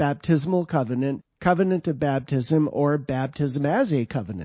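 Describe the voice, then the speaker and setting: Speech proceeds at a moderate pace. The delivery is somewhat breathy, and its pitch varies in an ordinary way. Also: man. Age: 60s. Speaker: author reading own paper. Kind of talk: reading aloud.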